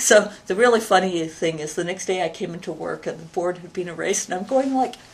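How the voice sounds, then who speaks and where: Over noticeable background noise, a woman speaks fairly quickly at medium pitch, with ordinary pitch variation and big swings in loudness. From Canada, Edmonton, Alberta. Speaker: university president and computer scientist. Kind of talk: interview. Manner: animated.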